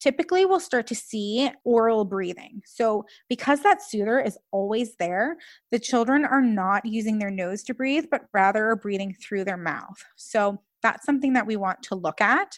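With a normal speaking voice, a woman talks at a moderate pace and fairly high pitch with lively intonation, in a dry, close recording with no echo, very clean against a silent background. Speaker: speech language pathologist. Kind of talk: casual interview.

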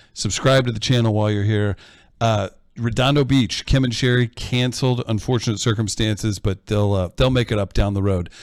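This man has an ordinary speaking voice at a medium pitch. He moves at a fairly quick pace with fairly even intonation. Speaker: producer and moderator reading audience questions. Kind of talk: casual live chat. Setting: video call, live stream.

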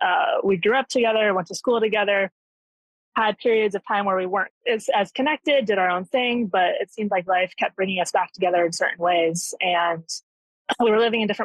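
An unremarkable speaking voice, a woman's at medium pitch, moves at a fairly quick pace with ordinary pitch variation. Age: 30s. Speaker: caller. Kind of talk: phone-in advice call.

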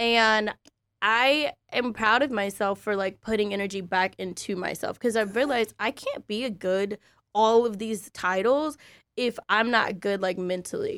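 With a normal speaking voice, a woman talks at a fairly slow pace and a fairly high pitch with ordinary pitch variation, recorded very cleanly with a silent background and a dry, close sound with no echo. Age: 30s. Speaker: podcast host. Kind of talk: casual chat.

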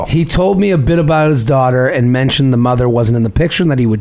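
A man talks at a very fast pace with hardly any pauses, his voice at a medium pitch and ordinary in its pitch variation. His loudness is very even, and there is noticeable background noise. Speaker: podcast host. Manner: reads listener emails aloud.

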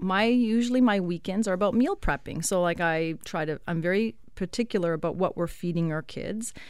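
A woman at a moderate pace, medium in pitch with ordinary pitch variation, an unremarkable speaking voice on a very clean recording with a silent background. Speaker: chiropractor. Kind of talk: radio interview, casual chat. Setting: studio.

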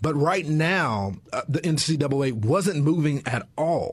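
A man speaks with lively intonation at a fairly high pitch. His voice is somewhat breathy. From Texas. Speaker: political commentator. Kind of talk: lively debate. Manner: energetic.

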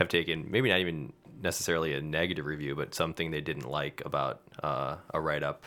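A man with an American accent, his pitch very deep and low, his intonation fairly even. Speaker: podcast co-host. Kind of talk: casual chat. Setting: studio. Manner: loud.

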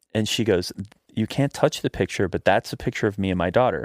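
On a very clean recording with a silent background, a man uses lively intonation, the sound dry and close with no echo. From Virginia, Blue Ridge Mountains. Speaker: actor and writer. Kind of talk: casual chat.

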